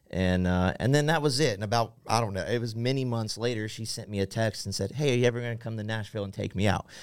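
In a Midwestern American accent, a man at medium pitch talks at a very fast pace with ordinary pitch variation on a very clean recording with a silent background. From central Ohio, rural. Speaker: worship pastor. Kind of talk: casual interview. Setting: studio.

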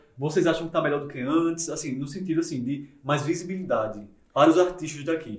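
A man with an ordinary speaking voice talks at a fairly quick pace, his fairly high pitch showing ordinary pitch variation. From Campina Grande, Paraíba, Brazil. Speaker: podcast host. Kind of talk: casual chat.

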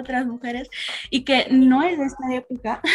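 A woman's high-pitched voice at a fairly slow pace. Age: 20s. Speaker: activist. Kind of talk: casual chat.

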